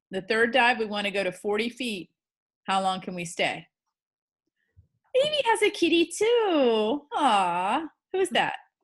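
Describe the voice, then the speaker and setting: A woman with an American accent and a fairly high voice, fairly slow, with very wide pitch swings and long, frequent pauses over a quiet background. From US, Florida Atlantic coast. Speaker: scuba instructor. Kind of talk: lecture.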